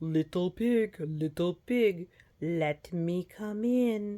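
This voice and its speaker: At a middle pitch and a very slow pace, a loud, bellowing put-on character voice booms out. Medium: read story. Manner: loud, roaring.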